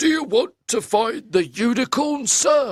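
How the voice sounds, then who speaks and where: Putting on a character voice, a man speaks at an extremely high pitch with lively intonation. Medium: read story. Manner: calm, measured.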